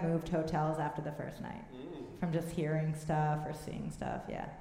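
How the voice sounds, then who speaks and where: Moderately paced speech from a woman with an American accent, noticeable background noise throughout. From United States. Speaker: comedian. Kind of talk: live comedy interview. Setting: stage with audience.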